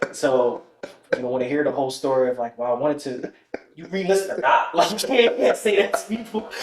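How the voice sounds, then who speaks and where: Over noticeable background noise, a man with an American accent talks at a fairly quick pace in a high pitch with very wide pitch swings. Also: big swings in loudness. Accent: New York accent, somewhat toned down. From New York. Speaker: Air Force technical sergeant. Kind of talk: casual podcast interview. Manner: casual, conversational.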